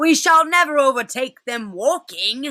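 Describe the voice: A high-pitched put-on character voice at a moderate pace.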